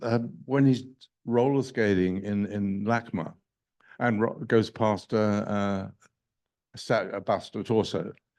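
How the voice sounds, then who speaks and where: Against a quiet background, a man with a British accent talks fairly slowly in a dark, mellow tone, leaving long, frequent pauses. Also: lively intonation. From England. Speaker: film director. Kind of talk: Q&A discussion. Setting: stage with audience. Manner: halting.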